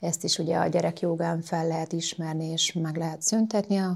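A woman with an unremarkable speaking voice, a fairly low pitch, fairly even intonation, and a moderate pace. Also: very clean recording, silent background. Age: 40s. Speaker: yoga instructor and masseuse. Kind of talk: interview. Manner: calm.

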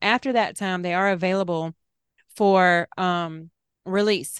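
With a Southern US accent, a woman speaks at medium pitch and a fairly slow pace with fairly even intonation against a quiet background. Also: dry, close sound with no echo. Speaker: podcast co-host. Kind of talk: casual chat.

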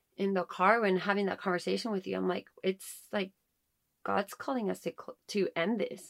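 At a moderate pace, a woman with a medium pitch speaks in an unremarkable speaking voice. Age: 30s. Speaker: podcast co-host, homeschooling mother. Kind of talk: casual chat, faith testimony.

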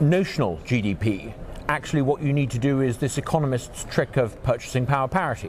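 A man with a British accent speaks at a moderate pace, his pitch fairly high and his intonation lively. Noticeable background noise is present. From England. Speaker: think tank president, former politician. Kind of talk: interview. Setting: conference venue.

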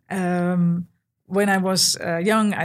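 A woman speaks fairly slowly in a somewhat breathy voice. Her pitch is fairly low and her intonation flat and monotone. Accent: Dutch. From Netherlands. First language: Dutch. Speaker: architect. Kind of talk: interview. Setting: office. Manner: halting, many fillers.

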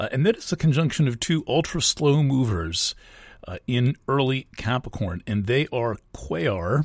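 On a very clean recording with a silent background, a man's medium-pitched, somewhat breathy voice moves at a moderate pace. His pitch swings very widely, and the sound is dry and close with no echo. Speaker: astrologer and podcast host. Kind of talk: solo astrology forecast monologue. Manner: halting, many fillers and restarts.

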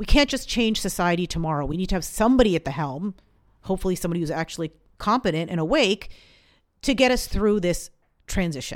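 A woman at medium pitch talking at a very fast pace with lively intonation, in a very clean recording with a silent background. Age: 40s. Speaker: podcast host, astrology and human design coach. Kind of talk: solo podcast monologue. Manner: casual.

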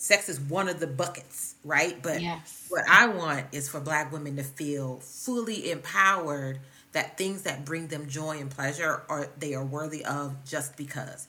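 Speaking at a fairly slow pace with hardly any pauses, a woman with a very deep, low pitch shows ordinary pitch variation amid audible room echo. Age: 40s. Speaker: psychologist. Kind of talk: casual chat.

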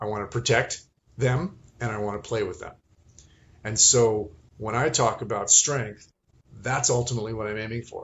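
A man with a medium pitch speaks at a moderate pace, somewhat breathy, with fairly even intonation. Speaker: movement and strength coach. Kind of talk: casual chat. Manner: halting.

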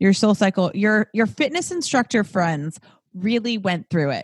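A woman with a Californian accent talks fairly slowly in a somewhat breathy, animated tone with lively intonation, on a very clean recording with a silent background and a dry, close sound with no echo. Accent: Californian American. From Southern California, Los Angeles. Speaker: fitness instructor. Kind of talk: casual chat.

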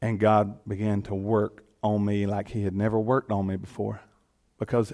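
A man with a Southern US accent talks in a fairly low pitch and a monotone, flat intonation. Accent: Southern US (Georgia). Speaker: elected official and guest speaker. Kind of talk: sermon. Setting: church.

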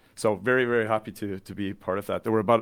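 Fairly low-pitched man with a Canadian accent, fairly even intonation, and a very fast pace, on a very clean recording with a silent background. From Canada, British Columbia (near Vancouver). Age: 40s. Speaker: tech company channel manager. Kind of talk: podcast interview.

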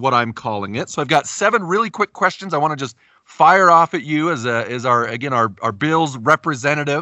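With an American accent, a man speaks at a fairly quick pace with hardly any pauses. His fairly high voice moves in very wide pitch swings. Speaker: podcast host. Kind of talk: casual sports podcast interview.

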